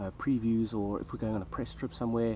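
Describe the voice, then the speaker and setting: The man's voice is fairly low and has a dark, mellow tone. He talks at a fairly quick pace with fairly even intonation. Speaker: vlogger in gaming PR. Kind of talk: casual vlog. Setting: outdoors by a pool. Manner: halting, with fillers.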